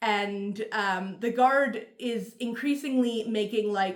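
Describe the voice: Plain reading aloud carries ordinary pitch variation throughout.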